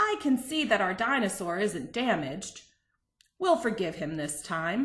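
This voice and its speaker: A woman performs a put-on character voice with very wide pitch swings. She keeps a moderate pace against a quiet background. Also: medium pitch for a woman. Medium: read story. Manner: brusque, commanding.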